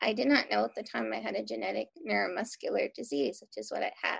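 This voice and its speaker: A woman's voice comes through with a dry, close sound with no echo over a quiet background. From Philadelphia. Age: young. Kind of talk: casual interview.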